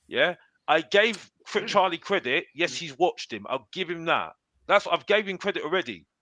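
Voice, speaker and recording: Raised and projected, a man's high, bright, sharp voice sounds animated at a moderate pace with ordinary pitch variation, dry and close with no echo against a quiet background. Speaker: football pundit. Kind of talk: heated debate. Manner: halting, repetitive.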